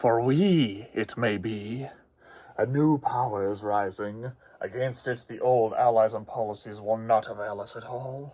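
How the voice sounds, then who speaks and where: Putting on a character voice at a medium pitch, a man speaks at a fairly slow pace. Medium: short film. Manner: grandiloquent, silky and domineering.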